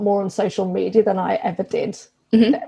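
A woman with a British accent at a moderate pace. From England. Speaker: business coach. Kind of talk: casual interview chat.

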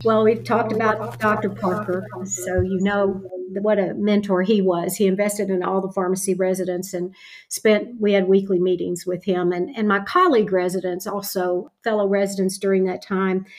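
A woman with an American accent, medium pitch and fairly even intonation at a moderate pace, over noticeable background noise. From Kentucky, US. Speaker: retired pharmacy professor. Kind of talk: interview.

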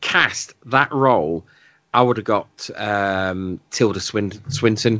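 A man with a British accent talks at a fairly slow pace. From Britain. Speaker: film podcast guest co-host. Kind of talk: casual chat. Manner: halting, many fillers and repeats.

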